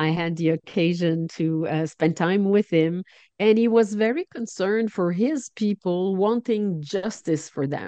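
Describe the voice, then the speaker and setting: In a French Canadian accent, a woman speaks fairly slowly with hardly any pauses, her medium-pitched voice dark and mellow in tone, with a dry, close sound with no echo. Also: ordinary pitch variation. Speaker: charity national director. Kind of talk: interview.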